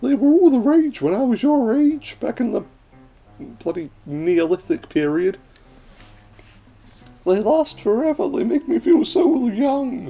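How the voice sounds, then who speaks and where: Using a put-on character voice, a man speaks at an extremely high pitch and a fairly slow pace. Long, frequent pauses break it up, with faint music in the background. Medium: game stream. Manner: folksy, calls others dearie.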